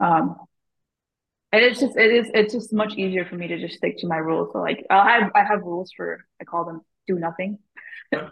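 A woman talks fairly quickly at a medium pitch with ordinary pitch variation and some vocal fry. Her loudness swings widely, and long, frequent pauses break up her speech. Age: 20s. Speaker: stock trader. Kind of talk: casual chat.

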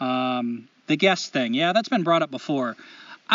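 The text is read aloud in a natural voice.

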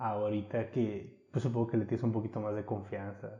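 A dark, mellow voice with a somewhat breathy quality. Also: man. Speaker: podcast host. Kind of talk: casual chat.

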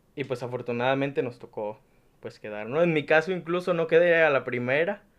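This man's voice shows ordinary variation in pitch. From Mexico, Nayarit. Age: 20s. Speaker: university student. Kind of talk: casual chat.

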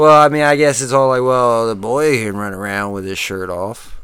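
A man's medium pitch with ordinary pitch variation, big swings in loudness, a moderate pace and an unremarkable speaking voice. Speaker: podcast host. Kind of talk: comedic rant, profane mock-angry tirade; casual comedy podcast banter.

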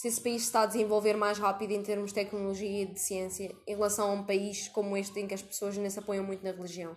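Over music in the background, a woman speaks at a fairly high pitch and a very fast pace. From Portugal. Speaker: podcast host. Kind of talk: casual interview.

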